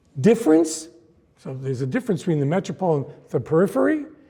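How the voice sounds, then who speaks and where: His voice sits high in pitch yet has a dark, mellow tone. The man's intonation is lively. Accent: American. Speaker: history professor. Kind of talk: lecture.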